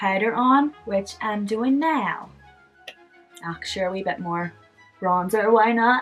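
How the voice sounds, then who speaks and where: Music plays in the background. A woman speaks with a Northern Irish accent. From Belfast, Northern Ireland. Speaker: makeup vlogger. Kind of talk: makeup tutorial talk to camera. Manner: casual, humorous.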